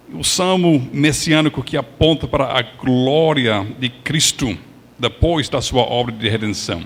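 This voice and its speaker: With noticeable background noise behind him, a man speaks at a fairly slow pace in a medium pitch with ordinary pitch variation. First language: English (speaking Portuguese). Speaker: pastor. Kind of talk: sermon.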